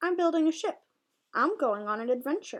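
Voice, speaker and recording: A woman uses a put-on character voice with an extremely high pitch and a gentle tone. She goes at a fairly quick pace over a quiet background. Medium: read story. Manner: gentle, mild.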